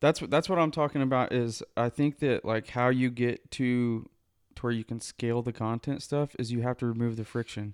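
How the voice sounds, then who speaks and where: A man with an unremarkable speaking voice talks at a medium pitch with fairly even intonation. The very clean recording has a silent background and a dry, close sound with no echo. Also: moderate pace. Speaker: podcast host. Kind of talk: casual chat. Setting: studio.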